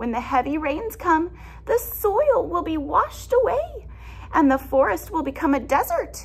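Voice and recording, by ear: Putting on a character voice, a woman speaks at an extremely high pitch with big pitch swings and vocal fry. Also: fairly slow pace.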